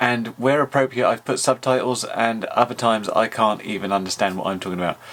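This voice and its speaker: Speaking at a fairly quick pace, a man with a British accent uses a medium pitch and ordinary pitch variation. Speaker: YouTube drone reviewer. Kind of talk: tutorial. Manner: mumbling. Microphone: audio sometimes very bad.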